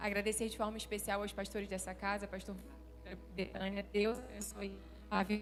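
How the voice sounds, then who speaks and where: A woman speaks with a Rio de Janeiro accent, and the room's echo is audible. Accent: carioca. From Rio de Janeiro, Brazil. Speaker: pastor. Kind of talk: sermon. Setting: church stage with audience.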